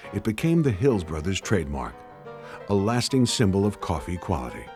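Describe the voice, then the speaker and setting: Over music in the background, a man talks in a very deep, low pitch at a moderate pace. His pitch swings very widely. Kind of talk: documentary narration.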